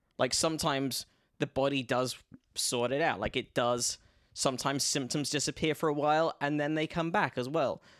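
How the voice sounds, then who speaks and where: Here is a man with an unremarkable speaking voice, fairly high in pitch, at a moderate pace. The intonation is fairly even, the loudness very even, and the sound dry and close with no echo. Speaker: comedian. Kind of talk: casual chat.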